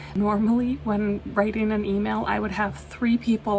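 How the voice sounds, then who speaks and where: A woman speaks over noticeable background noise. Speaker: crafting hobby vlogger. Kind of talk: casual vlog recap. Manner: trips over words.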